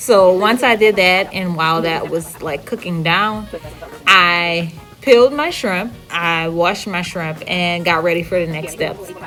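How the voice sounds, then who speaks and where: Music plays in the background as a woman speaks in a New Orleans accent. Her pitch is fairly low, her pace fairly slow, with ordinary pitch variation. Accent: full New Orleans. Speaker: home cook vlogger. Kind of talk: cooking tutorial voiceover. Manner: casual, conversational.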